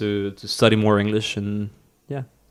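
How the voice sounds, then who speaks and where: Recorded very cleanly against a silent background, a man with a Spanish accent and a fairly low pitch speaks at a moderate pace. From northern Mexico. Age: 30s. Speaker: cinematographer and photographer. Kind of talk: casual interview. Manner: halting, repeats words.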